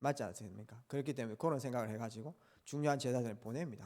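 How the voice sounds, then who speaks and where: A man is heard here. The recording is very clean, with a silent background. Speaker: pastor. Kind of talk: sermon.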